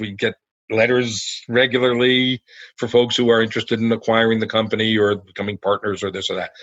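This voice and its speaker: With an American accent and an ordinary speaking voice, a man speaks at a fairly quick pace and medium pitch with fairly even intonation. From New Jersey, US. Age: 60s. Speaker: food company founder. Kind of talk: podcast interview. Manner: conversational with fillers.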